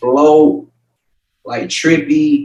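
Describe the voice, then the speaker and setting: Here a man is speaking. His intonation is monotone and flat. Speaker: music producer. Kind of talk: interview. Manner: casual, slangy.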